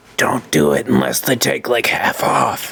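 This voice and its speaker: A raspy, put-on character voice from a man, medium in pitch and moderate in pace. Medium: actual play.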